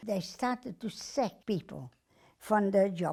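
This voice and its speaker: With lively intonation and a dark, mellow tone, a woman speaks at a fairly slow pace. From Netherlands (Amsterdam). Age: 80s+. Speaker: Holocaust survivor. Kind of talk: testimony. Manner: halting.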